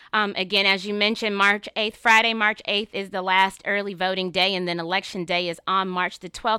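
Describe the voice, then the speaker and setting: In a very clean recording with a silent background, a woman talks at a fairly quick pace with hardly any pauses, her medium-pitched voice bright and sharp in tone, her intonation flat and monotone, and the sound dry and close with no echo. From North Carolina. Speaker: attorney and political candidate. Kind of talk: interview.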